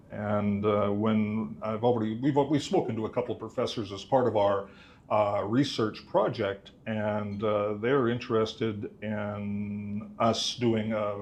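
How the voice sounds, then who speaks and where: A man at a fairly slow pace, fairly low in pitch, fairly even intonation, audible room echo. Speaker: mathematics instructor. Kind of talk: conference talk. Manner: loud.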